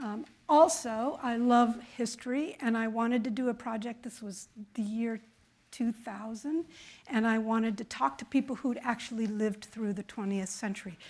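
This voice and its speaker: In a very clean recording with a silent background, a woman talks at a moderate pace in an ordinary speaking voice, her pitch fairly high with ordinary variation. Her loudness swings widely. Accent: American. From Chicago. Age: 60s. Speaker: author and public radio producer. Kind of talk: conference presentation. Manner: conversational with fillers.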